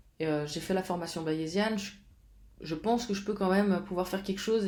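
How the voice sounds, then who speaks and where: Amid audible room echo, a woman with a dark, mellow tone talks at a medium pitch with fairly even intonation. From Switzerland, Geneva. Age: 30s. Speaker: fitness coach. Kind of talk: casual vlog talk. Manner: halting, many fillers.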